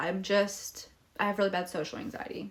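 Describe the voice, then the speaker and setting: A bubbly, medium-pitched woman's voice over noticeable background noise. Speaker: vlogger, young mother. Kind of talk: casual Q&A vlog.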